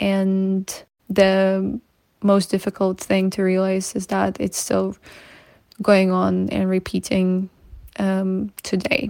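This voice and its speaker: With a Ukrainian accent, a woman speaks at a very slow pace with long, frequent pauses, a medium pitch, a dark, mellow tone and monotone, flat intonation, on a very clean recording with a silent background. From Ukraine, Kyiv region. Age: 20s. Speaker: activist. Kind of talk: testimony.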